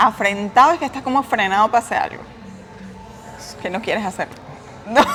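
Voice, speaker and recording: Music plays in the background as a woman with a Venezuelan accent talks at a fairly quick pace. She uses ordinary pitch variation and leaves long, frequent pauses. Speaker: travel vlogger. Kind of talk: casual conversation.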